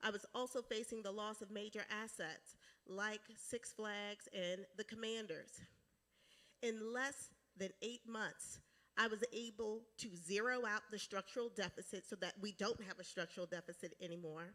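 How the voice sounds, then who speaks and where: Fairly high in pitch, a woman talks at a moderate pace with fairly even intonation. Her tone is bright and sharp. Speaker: county executive, political candidate. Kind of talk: candidate forum opening statement. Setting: church candidate forum with audience.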